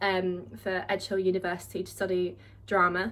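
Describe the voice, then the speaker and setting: With a southern English accent, a woman talks at a moderate pace in a medium pitch. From southeast England, Kent. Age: 20s. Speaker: vlogger, drama student. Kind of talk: casual vlog monologue.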